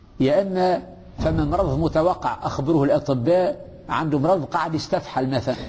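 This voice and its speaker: With a Tunisian accent, a man speaks at a moderate pace and very even loudness over noticeable background noise. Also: fairly high pitch for a man, ordinary pitch variation. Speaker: religious teacher. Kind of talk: religious lesson. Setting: mosque. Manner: conversational, with fillers and hesitations.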